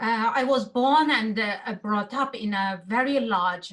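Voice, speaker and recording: Speaking very slowly in a Xinjiang accent, a woman uses medium pitch with ordinary pitch variation. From East Turkestan (Xinjiang), Gulja. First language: Uyghur. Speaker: activist. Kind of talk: testimony. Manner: halting, many fillers.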